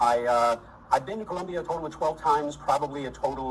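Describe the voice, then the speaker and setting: Talking at a very fast pace, a man with an American accent uses a fairly high voice. Noticeable background noise can be heard. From US Northeast, Boston. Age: 60s. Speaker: retiree interviewee. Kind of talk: interview. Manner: hesitant with fillers.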